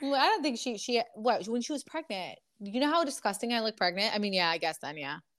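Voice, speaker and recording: A woman at a fairly high pitch and very fast pace, animated in tone, with very wide pitch swings and hardly any pauses. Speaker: podcast host. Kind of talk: casual chat.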